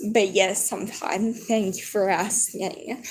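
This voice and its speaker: The woman's voice is somewhat breathy, medium in pitch and fairly even in intonation. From US. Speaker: livestreamer. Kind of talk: casual chat. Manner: low-key, relaxed.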